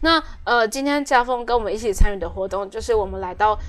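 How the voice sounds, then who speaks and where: With music in the background, the woman's pitch moves in an ordinary way. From Taiwan, Taoyuan Zhongli. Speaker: community worker. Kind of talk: interview.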